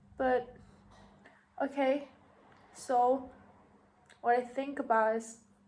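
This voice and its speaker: A woman speaks very slowly in a Thai accent, leaving long, frequent pauses. Her pitch is high, and her intonation is monotone and flat. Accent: Thai, non-native English. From Thailand. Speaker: podcaster. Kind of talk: casual monologue. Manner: halting.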